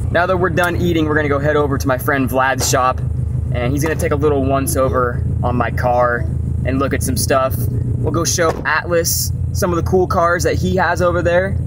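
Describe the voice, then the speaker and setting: A man talks fairly quickly, the sound dry with no echo but with noticeable background noise. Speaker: family vlogger. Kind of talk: casual vlog chat. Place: car. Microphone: phone near.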